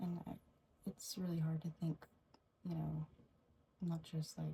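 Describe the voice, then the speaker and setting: Soft-spoken, the woman talks at a fairly slow pace. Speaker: ASMR creator's sister. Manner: soft-spoken, reflective.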